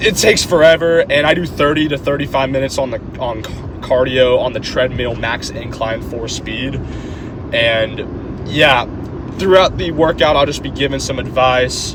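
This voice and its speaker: With noticeable background noise and audible room echo, a man with a fairly high pitch and ordinary pitch variation speaks at a moderate pace. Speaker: fitness vlogger. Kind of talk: casual gym vlog. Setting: gym. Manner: stutters over words.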